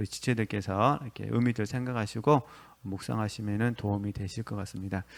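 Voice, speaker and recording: Speaking fairly quickly, a man uses a medium pitch. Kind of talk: lecture. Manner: fast; hesitant with fillers.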